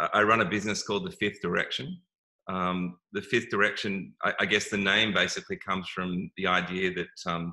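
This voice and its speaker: With an Australian accent, the speaker talks at a fairly quick pace in a bright, sharp tone and fairly even intonation, on a very clean recording with a silent background. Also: man, fairly low pitch for a man. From Australia, Melbourne. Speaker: wellness business owner. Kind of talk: interview. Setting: live video stream. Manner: halting, many fillers and repeats.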